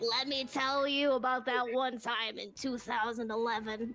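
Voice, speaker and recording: A female-sounding put-on character voice speaks at a high pitch and a moderate pace with monotone, flat intonation over clear background noise. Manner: world-weary, not sweet.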